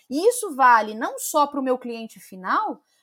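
A woman's high voice moves through very wide pitch swings. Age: 30s. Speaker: marketing and sales executive. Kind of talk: interview.

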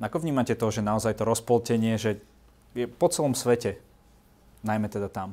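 A man with a dark, mellow tone and fairly low pitch speaks at a fairly quick pace. The recording is very clean, with a silent background. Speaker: talk show host. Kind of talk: interview.

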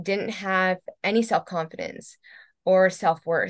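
Over a quiet background, a woman speaks in an ordinary speaking voice. Her pitch is medium, and her intonation stays fairly even. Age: 40s. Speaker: holistic entrepreneur and health coaching client. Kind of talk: interview.

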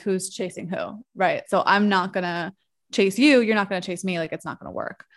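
An American-accented woman talks in a plain, everyday voice at medium pitch and a moderate pace, with fairly even intonation. The recording is very clean, with a silent background. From New York. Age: 30s. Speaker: marketer and social media creator. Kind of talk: casual interview chat.

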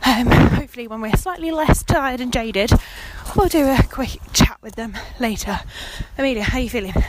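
A woman's high voice in a British accent, fairly quick, with lively intonation, big swings in loudness and noticeable background noise. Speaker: podcast host and scout leader. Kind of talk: casual podcast narration and recap.

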